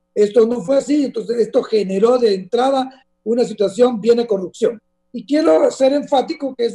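Faint music plays in the background as the speaker moves at a fairly quick pace with ordinary pitch variation. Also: man. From Honduras. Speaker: politician and former bank regulator; guest. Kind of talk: interview. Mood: serious, critical. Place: home room. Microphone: video call.

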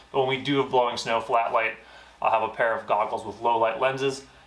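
Heard with audible room echo, a man speaks with little pitch movement. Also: fairly bright tone.

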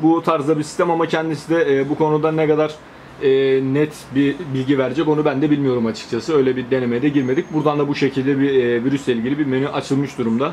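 A man speaks at a very fast pace with very even loudness. Light background noise sits behind him. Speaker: tech youtuber. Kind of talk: tutorial. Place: home room.

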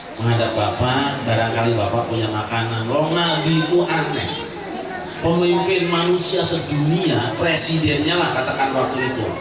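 A man at a moderate pace amid audible room echo and loud background noise. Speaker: Islamic preacher. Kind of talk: sermon with humor. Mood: humorous storytelling. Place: home room.

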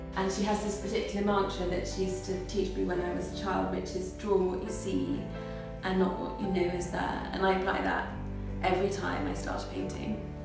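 Over clear background music, a woman speaks at a fairly quick pace with audible room echo. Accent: British. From England. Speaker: watercolour artist. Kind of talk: interview answer. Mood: warm, animated. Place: home room. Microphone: camera far.

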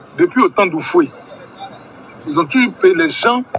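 A raised, projected voice with very wide pitch swings, a dry, close sound with no echo, and noticeable background noise. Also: man. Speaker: ordinary citizen. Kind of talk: rant. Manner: animated.

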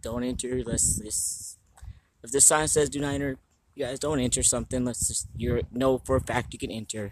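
Over noticeable background noise, a man speaks at a moderate pace with fairly even intonation. The sound is dry, with no echo. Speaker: vlogger exploring. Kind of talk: casual vlog chat. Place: street. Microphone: phone near.

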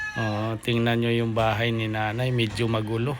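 A man speaks at a fairly slow pace in a monotone, flat intonation. Audible room echo and noticeable background noise surround him. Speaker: vlogger. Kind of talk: vlog narration. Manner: halting, many fillers.

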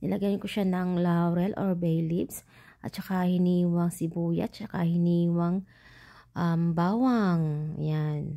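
A woman with a dark, mellow tone and fairly low pitch speaks at a very slow pace with fairly even intonation and very even loudness. The recording is very clean, with a silent background. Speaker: cooking vlogger. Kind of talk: cooking voice-over tutorial. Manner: chatty, casual; stumbling over words.

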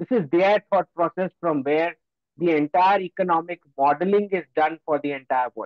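A man's high-pitched voice at a moderate pace, with ordinary pitch variation and a dry sound with no echo. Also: quiet background. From Gujarat, India. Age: young. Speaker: geopolitical analyst. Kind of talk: lecture. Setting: video call. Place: home room. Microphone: video call.

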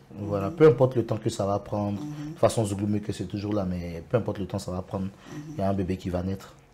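The voice has a dark, mellow tone, is somewhat breathy and comes with an Ivorian accent. It moves at a very fast pace with ordinary pitch variation over light background noise. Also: man, fairly low pitch for a man. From Côte d'Ivoire, Soubré; Côte d'Ivoire. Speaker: zouglou singer; guest. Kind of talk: TV interview. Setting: TV studio. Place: studio. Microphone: lapel.

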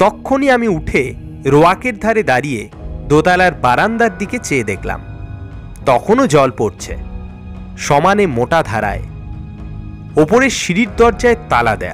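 Music plays in the background. A man speaks at a fairly high pitch with very wide pitch swings. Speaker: storyteller. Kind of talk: horror story reading.

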